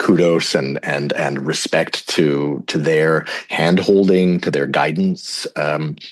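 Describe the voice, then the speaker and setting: Over noticeable background noise, the speaker goes at a very slow pace with hardly any pauses. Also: man. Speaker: psychedelic facilitator. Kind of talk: podcast interview. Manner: halting, many fillers.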